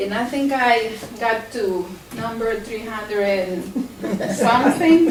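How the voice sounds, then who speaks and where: A woman with a Salvadoran accent at a very slow pace, with ordinary pitch variation, audible room echo and noticeable background noise. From El Salvador. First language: Spanish. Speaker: plant scientist. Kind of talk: presentation. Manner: halting.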